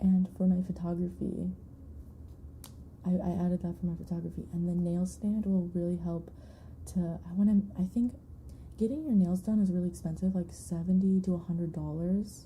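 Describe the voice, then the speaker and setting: A fairly low-pitched woman with an American accent, a dark, mellow, somewhat breathy tone, monotone, flat intonation, a moderate pace and long, frequent pauses. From Michigan, US. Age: 20s. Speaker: ASMR streamer. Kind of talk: casual live-stream chat. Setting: live stream. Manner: rambling, distractible chat.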